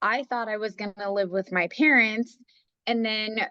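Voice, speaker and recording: A woman with an unremarkable speaking voice and a fairly high pitch is heard in a dry, close sound with no echo. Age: 30s. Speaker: podcast guest. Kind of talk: casual chat.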